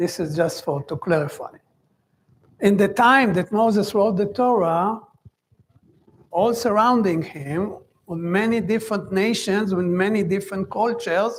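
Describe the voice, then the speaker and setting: A man's high-pitched voice with a non-native accent, fairly slow, with ordinary pitch variation and long, frequent pauses. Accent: foreign accent, lighter than new immigrants'. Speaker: Torah teacher. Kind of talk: lecture. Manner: halting.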